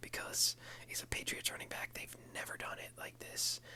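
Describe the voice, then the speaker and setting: A man whispers at a fairly quick pace. Noticeable background noise sits behind him. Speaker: ASMR and fantasy football content creator. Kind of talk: casual talk to camera. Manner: whispered.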